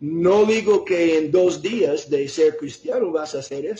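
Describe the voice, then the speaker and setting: A man with a non-native accent, high pitch, ordinary pitch variation and a fairly slow pace. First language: not Spanish (speaking Spanish). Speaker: preacher. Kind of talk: sermon. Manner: halting, with fillers and self-corrections.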